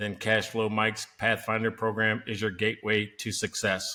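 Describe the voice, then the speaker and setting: At a moderate pace, a man does a robotic put-on character voice at medium pitch. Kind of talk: advertising narration.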